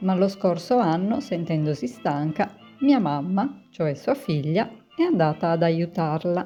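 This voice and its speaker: A woman talks at a fairly slow pace, her fairly low pitch making very wide swings. Music plays in the background. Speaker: home cook and food blogger. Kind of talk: cooking video voice-over narration.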